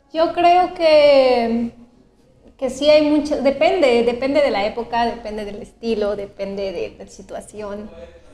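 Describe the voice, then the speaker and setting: A high-pitched woman speaks at a fairly slow pace with lively intonation and big swings in loudness. Noticeable background noise runs behind her. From Mexico City. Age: 30s. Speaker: painter and art teacher. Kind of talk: interview. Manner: measured, thoughtful.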